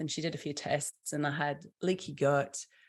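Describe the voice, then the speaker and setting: A woman with a British accent on a very clean recording with a silent background. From UK. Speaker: small business founder. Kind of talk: podcast interview.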